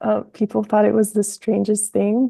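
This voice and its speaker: The sound is dry and close with no echo as a woman speaks at a moderate pace. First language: Spanish. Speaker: author. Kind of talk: interview. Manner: hesitant, many fillers.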